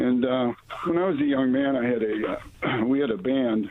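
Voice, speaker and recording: The voice rises and falls with lively intonation over noticeable background noise. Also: man. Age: 60s. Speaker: caller. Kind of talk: testimony. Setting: phone call. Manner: halting.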